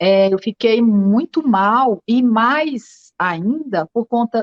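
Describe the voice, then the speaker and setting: A woman with a northeastern Brazilian accent, fairly high pitch and lively intonation. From Northeast Brazil. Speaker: writer. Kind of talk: interview.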